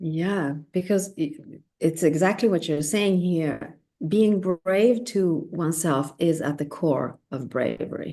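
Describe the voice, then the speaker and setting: With a non-native accent, a woman talks very slowly in a dark, mellow tone, her pitch varying in an ordinary way. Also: fairly low pitch for a woman. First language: not English. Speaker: spiritual guest speaker. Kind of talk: casual conversation, live stream. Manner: hesitant, self-correcting.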